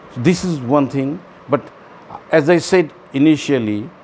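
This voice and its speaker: The speaker has a Bangladeshi accent and ordinary pitch variation. The pace is fairly slow. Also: man. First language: Bengali. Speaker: commentator on world affairs. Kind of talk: monologue talk. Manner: halting, with repetitions.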